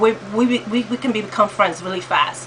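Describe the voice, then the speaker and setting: Noticeable background noise runs behind a woman with an American accent who talks at a fairly slow pace and a fairly high pitch. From New York. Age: 50s. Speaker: vlogger. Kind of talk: casual talk to camera. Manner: hesitant, many fillers.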